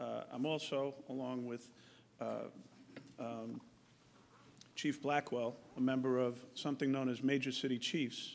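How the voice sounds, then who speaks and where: Speaking in a Bronx accent, a man keeps a medium pitch, a moderate pace and a monotone, flat intonation. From New York, Bronx. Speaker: police chief. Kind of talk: public forum presentation. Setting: public forum at podium.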